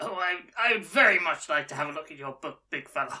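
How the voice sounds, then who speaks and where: A female-sounding voice in a put-on character voice talks at a fairly quick pace and fairly low pitch. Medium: actual play. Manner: hesitant, halting.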